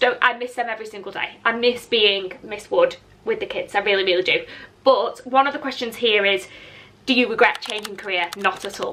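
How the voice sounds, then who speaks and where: Over noticeable background noise, a woman with a northern English accent speaks at a fairly quick pace and a high pitch, her intonation lively and her loudness swinging widely. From northern England, Lancashire. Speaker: content creator, former teacher. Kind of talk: casual chat. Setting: outdoors. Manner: animated.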